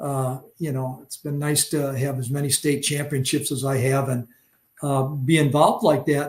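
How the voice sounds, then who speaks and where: A man speaks at a moderate pace in a fairly high, somewhat breathy voice. His intonation is monotone and flat. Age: 70s. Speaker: fishing angler. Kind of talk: podcast interview. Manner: halting with many fillers.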